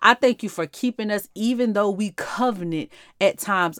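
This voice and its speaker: Ordinary pitch variation and a moderate pace mark this woman's speech. The recording is very clean with a silent background and a dry, close sound with no echo. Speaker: podcast host and devotional teacher. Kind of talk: fervent extemporaneous prayer, pleading and solemn, addressed to God. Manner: impassioned, rhythmic, repeating 'Father God' as a refrain, building intensity; earnest, heartfelt, sometimes soft with thanksgiving.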